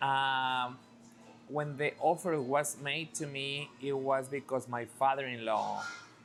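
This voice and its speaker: A man speaks very slowly with a Spanish accent and a medium-pitched voice. Music plays in the background. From Mexico. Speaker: restaurant owner. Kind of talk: interview.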